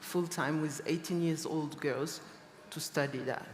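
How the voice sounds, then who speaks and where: The intonation stays monotone and flat. The pace is moderate. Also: woman. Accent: French. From Niger. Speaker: fashion designer. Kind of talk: panel discussion.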